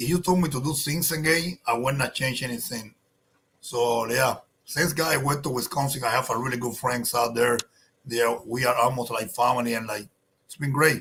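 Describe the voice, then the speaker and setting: Speaking with a Spanish accent, a man keeps a moderate pace. His medium-pitched voice has a bright, sharp tone. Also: ordinary pitch variation. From Cuba. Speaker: cigar company owner. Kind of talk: casual interview chat.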